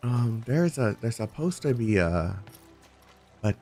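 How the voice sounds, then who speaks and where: With music in the background, a man speaks at a fairly low pitch with lively intonation. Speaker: gaming streamer. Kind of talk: casual chat. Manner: animated.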